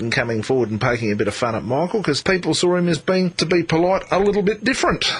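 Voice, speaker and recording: A man talks at a very fast pace with an Australian accent. Noticeable background noise runs underneath. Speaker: talkback radio presenter. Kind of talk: talkback radio conversation.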